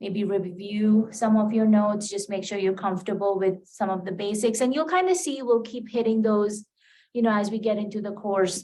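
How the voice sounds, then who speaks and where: Speaking at a moderate pace in an American accent, a woman has a dark, mellow tone and fairly even intonation. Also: medium pitch for a woman. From India. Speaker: college math instructor. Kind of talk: lecture. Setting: classroom with students. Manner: casual with many fillers.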